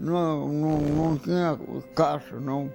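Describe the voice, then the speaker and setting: Music plays behind a man who talks very slowly. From Minas Gerais, Brazil. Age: 80s+. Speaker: former enslaved person, retired railway worker. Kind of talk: interview answer.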